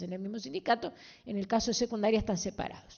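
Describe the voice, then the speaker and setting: A woman speaks with ordinary pitch variation. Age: 60s. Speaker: politician, party representative in a debate. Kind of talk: public debate. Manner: animated.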